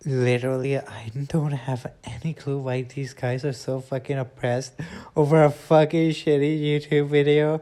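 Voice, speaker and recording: A man's fairly high-pitched, dark, mellow voice at a moderate pace. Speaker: YouTuber. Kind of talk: reaction commentary. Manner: animated.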